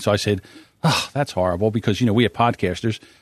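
Recorded dry and close with no echo against a quiet background, a man with an American accent speaks with ordinary pitch variation. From US, South Jersey. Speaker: podcaster. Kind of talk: casual chat. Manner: halting, pauses often.

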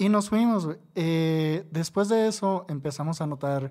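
Recorded very cleanly against a silent background, a man speaks with a Mexican accent. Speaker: tattoo artist. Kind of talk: casual chat.

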